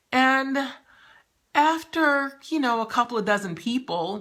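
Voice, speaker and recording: A woman speaks high in pitch, her tone warm yet bright and sharp. The recording is very clean, with a silent background. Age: 60s. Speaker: novelist and lifestyle vlogger. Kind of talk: personal vlog monologue. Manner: warm, conversational.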